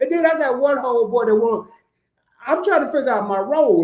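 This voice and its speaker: A man with a Southern US accent, an extremely high pitch, an animated tone and a fairly quick pace. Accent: Southern country. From US South, Arkansas. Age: 50s. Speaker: content creator. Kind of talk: casual chat. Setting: live stream.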